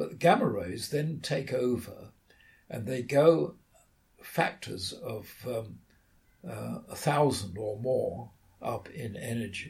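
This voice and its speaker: Speaking with a British accent at a very slow pace, the voice shows vocal fry, very wide pitch swings, big swings in loudness and long, frequent pauses. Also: man, medium pitch for a man. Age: 80s+. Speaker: radio astronomer and author. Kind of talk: interview.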